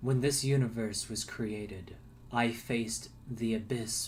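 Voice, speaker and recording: A man puts on a character voice at a medium pitch and moderate pace. Background noise is clearly audible. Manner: ominous, grave.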